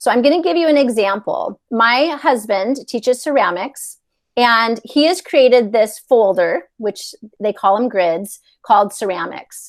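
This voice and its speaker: A woman with a normal speaking voice talks at a fairly slow pace, her fairly high pitch carried by lively intonation. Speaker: educator presenting a digital tool. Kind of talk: tutorial.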